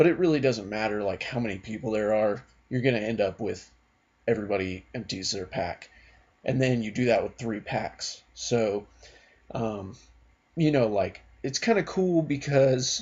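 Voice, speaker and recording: A quiet man's voice at medium pitch with long, frequent pauses. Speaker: card game youtuber. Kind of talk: casual video blog. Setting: at home at night. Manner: quiet, subdued.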